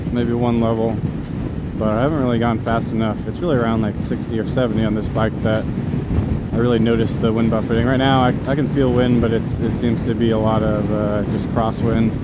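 Loud background noise surrounds a man speaking at a fairly quick pace. The sound is dry, with no echo. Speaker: motorcycle vlogger. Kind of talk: casual vlog chat. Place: motorbike. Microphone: helmet.

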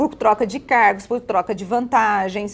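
A woman talking at a fairly quick pace. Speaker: political commentator, blogger. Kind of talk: televised political panel discussion. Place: studio.

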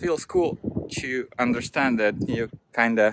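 This man speaks at a fairly slow pace, his medium pitch held in a fairly even intonation.

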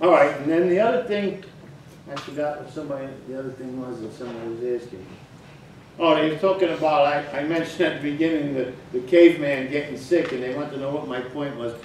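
Over light background noise and with audible room echo, a man talks at a very fast pace, his pitch varying in an ordinary way and his loudness swinging widely. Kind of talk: casual talk to an online group. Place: home room.

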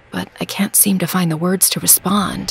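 A woman speaking at a moderate pace over music in the background. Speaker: audiobook narrator. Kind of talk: audiobook trailer, first-person romance narration.

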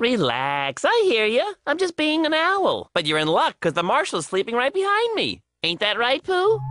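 In a cartoonish character voice, a female-sounding speaker talks at a moderate pace and a high pitch, with hardly any pauses. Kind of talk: cartoon dialogue. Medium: comedy sketch. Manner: goofy, folksy. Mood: relaxed and wry.

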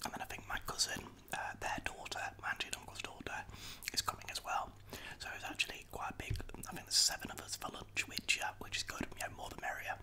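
Whispering and soft-spoken, the speaker rushes along at a very fast pace over light background noise. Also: man. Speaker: vlogger. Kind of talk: casual vlog chat. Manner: soft ASMR whisper close to mic. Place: kitchen. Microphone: studio mic.

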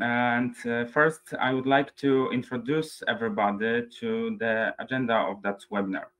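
A man talks at a fairly slow pace with a Polish accent. The background is quiet. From Poland. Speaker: webinar moderator. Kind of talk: webinar moderation. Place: home room.

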